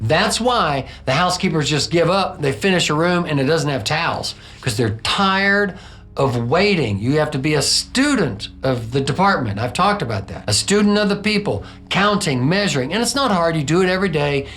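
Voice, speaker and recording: Over background music and audible room echo, a man speaks in an animated tone at a fairly high pitch with very wide pitch swings. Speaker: hotel housekeeping trainer. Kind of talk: tutorial. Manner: fast.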